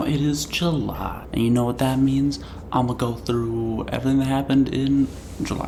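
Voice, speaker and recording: Soft-spoken, a man talks at a fairly quick pace with ordinary pitch variation, amid audible room echo and noticeable background noise. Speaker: vlogger. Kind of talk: casual monthly review vlog. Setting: at family home, different setup. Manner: quiet, soft-spoken. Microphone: recorded quietly.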